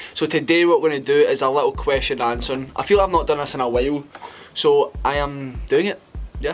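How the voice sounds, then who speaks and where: Noticeable background noise sits behind a man with a Scottish accent who talks at a fairly quick pace. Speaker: fitness influencer. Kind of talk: casual talk to camera.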